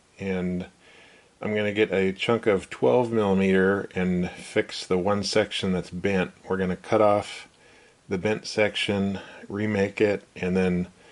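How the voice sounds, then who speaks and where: A man at a fairly slow pace, with a fairly low pitch and monotone, flat intonation. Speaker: machinist repairing equipment. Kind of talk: workshop tutorial. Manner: casual with frequent fillers.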